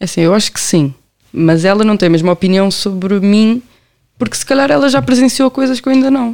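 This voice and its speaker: With lively intonation and a fairly quick pace, a woman talks at a medium pitch in an unremarkable speaking voice. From Portugal, Amadora (Lisbon area). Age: 20s. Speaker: law graduate running a youth help project. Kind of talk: casual interview chat.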